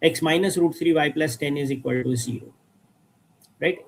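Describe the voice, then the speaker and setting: A man's voice sits at a fairly high pitch. His intonation is lively. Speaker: maths teacher. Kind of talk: lecture. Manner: slow.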